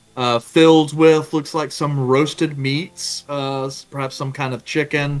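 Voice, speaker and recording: Monotone, flat delivery with hardly any pauses over music in the background. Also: man, fairly high pitch for a man, fairly slow pace. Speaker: game master narrating a tabletop role-playing game. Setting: online voice call.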